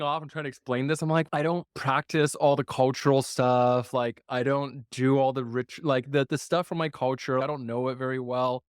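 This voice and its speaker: A man in a Mandarin accent at a moderate pace, the sound dry and close with no echo. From US, Chinese immigrant family. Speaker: podcast host. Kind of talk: interview conversation. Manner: casual, filler-heavy.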